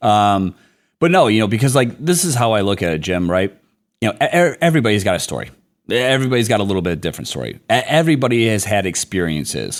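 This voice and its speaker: With a Midwestern accent, a man of fairly low pitch speaks at a very fast pace in an animated tone with very wide pitch swings, on a very clean recording with a silent background. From US Midwest, Detroit. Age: 40s. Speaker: business executive. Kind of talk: podcast interview.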